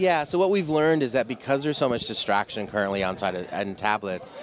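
A man talks at a fairly quick pace over crowd noise in the background, the sound dry with no echo. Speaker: interviewee. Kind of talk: interview answer. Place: street. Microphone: handheld.

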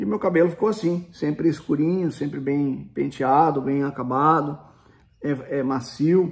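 A man talks at a fairly slow pace. His pitch varies an ordinary amount. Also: fairly high pitch for a man. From Brazil, Paraná. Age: 40s. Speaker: YouTuber. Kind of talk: casual product review vlog. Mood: cheerful, enthusiastic. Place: home room. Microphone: phone near.

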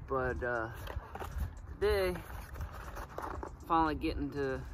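A man at a fairly slow pace, dry sound with no echo, noticeable background noise. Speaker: fishing vlogger. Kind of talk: casual vlog chat. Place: forest.

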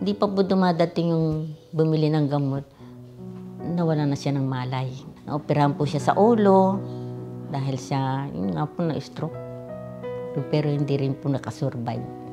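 A woman speaks in a very deep, low pitch with lively intonation at a moderate pace. She leaves long, frequent pauses while clear music plays in the background. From Philippines. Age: 80s+. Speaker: OB gynecologist. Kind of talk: interview answer. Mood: calm, reflective, devout. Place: home room.

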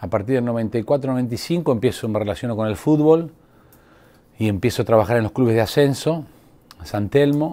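Lively in intonation, a man talks at a fairly slow pace in a dark, mellow tone. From Argentina, La Pampa. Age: 50s. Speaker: sports physiotherapist. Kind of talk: interview; interview answer. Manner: halting, many fillers. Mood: calm, reflective.

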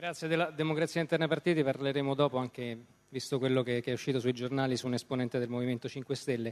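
The speaker is a man at medium pitch with fairly even intonation. He talks at a very fast pace. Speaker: journalist moderator. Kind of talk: moderated political debate. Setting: stage with audience.

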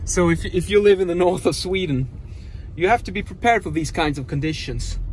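Against light background noise, a man speaks with ordinary pitch variation in a dry sound with no echo. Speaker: driver vlogger. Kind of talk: casual vlog chat. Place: car. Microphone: phone near.

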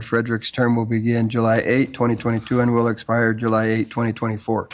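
A man is talking here. His pace is moderate. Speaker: council official reading agenda. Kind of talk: formal agenda reading. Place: hall. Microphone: podium.

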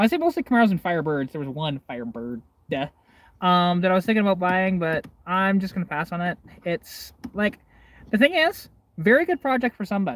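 Delivered at a fairly quick pace, the speech has a dry sound with no echo. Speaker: car hobbyist streamer. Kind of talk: casual livestream chat. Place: car. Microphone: phone near.

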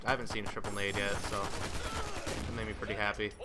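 A man talking at a fairly quick clip over noticeable background noise. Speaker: gaming commentator. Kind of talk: live gameplay commentary. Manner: animated.

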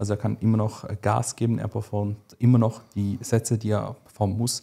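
A man speaks at a moderate pace in a fairly low pitch, his tone dark, mellow and somewhat breathy. The background is quiet. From Switzerland. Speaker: bodybuilding coach. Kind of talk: casual chat. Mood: calm, explanatory. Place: studio. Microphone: studio mic.

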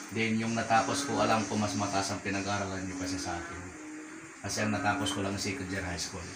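Loud background noise fills the clip. A man speaks at a very fast pace. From Philippines. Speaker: direct sales recruiter. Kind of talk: sales pitch. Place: home room. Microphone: camera far.

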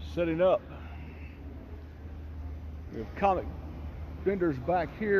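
With lively intonation, a man speaks at a slow pace, leaving long, frequent pauses.

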